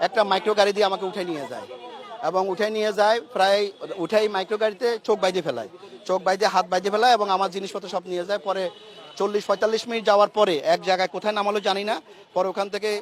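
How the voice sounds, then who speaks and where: The intonation is fairly even. Noticeable background noise is present. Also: man, high pitch for a man. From Chittagong, Bangladesh. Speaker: businessman, abduction victim. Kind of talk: testimony. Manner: emotional, halting.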